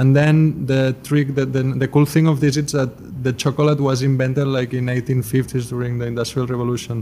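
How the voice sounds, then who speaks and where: Delivery comes at a moderate pace with hardly any pauses and monotone, flat intonation. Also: man, medium pitch for a man. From Spain, Barcelona. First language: Spanish or Catalan. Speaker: pastry chef and chocolatier. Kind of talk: interview.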